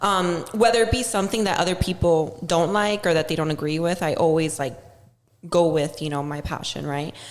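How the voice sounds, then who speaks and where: In a Miami accent, a woman with a fairly low pitch talks at a fairly quick pace with ordinary pitch variation. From Miami, Florida (Cuban-American family). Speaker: social media influencer. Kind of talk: casual chat.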